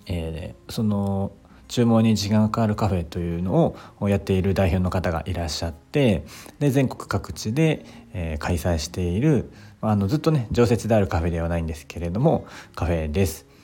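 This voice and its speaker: A man speaks with a very deep, low pitch and a dark, mellow tone on a very clean recording with a silent background. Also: lively intonation, moderate pace. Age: 30s. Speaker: podcaster. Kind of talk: solo monologue. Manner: halting, many fillers; slight stutter.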